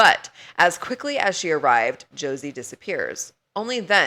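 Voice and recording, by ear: Natural-voiced reading aloud, quiet background behind it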